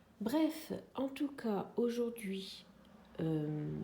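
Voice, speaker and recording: Audible room echo surrounds a woman whose voice sits fairly high in pitch. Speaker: craft vlogger. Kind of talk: casual vlog chat. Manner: hesitant, many fillers.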